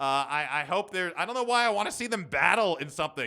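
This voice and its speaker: A man raises and projects his high-pitched voice in a bright, sharp tone. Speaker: solo podcast host. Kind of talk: casual solo podcast monologue. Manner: halting with fillers.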